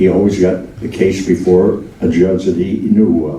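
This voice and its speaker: A man talks at a moderate pace. Audible room echo and noticeable background noise surround his voice. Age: 90s. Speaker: memoirist. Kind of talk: Q&A talkback. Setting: stage with audience.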